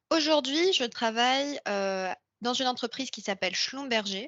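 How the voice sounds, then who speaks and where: A woman talks at a moderate pace. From Morocco. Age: 20s. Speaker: AI engineer. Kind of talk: interview monologue. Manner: hesitant, many fillers.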